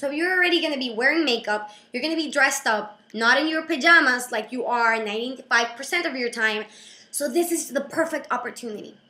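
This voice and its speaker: A woman talks at a very fast pace in a high, raised and projected voice with a bright, sharp tone and ordinary pitch variation. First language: not English. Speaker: video blogger and creative business coach. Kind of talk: casual vlog. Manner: animated.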